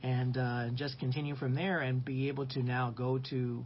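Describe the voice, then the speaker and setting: At a moderate pace, a man talks at a medium pitch, his voice somewhat breathy. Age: 60s. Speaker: Sunday school teacher. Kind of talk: Bible lesson. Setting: live stream.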